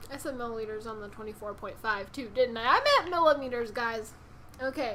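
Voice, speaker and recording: Noticeable background noise sits behind a woman speaking at a fairly quick pace with fairly high pitch. Her pitch variation is ordinary, and her loudness swings a lot. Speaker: vaping product reviewer. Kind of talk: product review. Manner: fast; upbeat.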